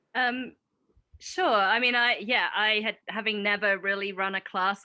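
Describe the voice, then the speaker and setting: A woman speaks with a British accent at a medium pitch, her pitch varying in an ordinary way. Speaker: biology professor. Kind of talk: panel discussion.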